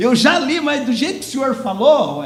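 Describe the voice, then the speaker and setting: Noticeable background noise and audible room echo surround a man's voice. He speaks at a moderate pace with an extremely high pitch. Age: 60s. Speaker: lay preacher. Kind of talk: sermon. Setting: church service.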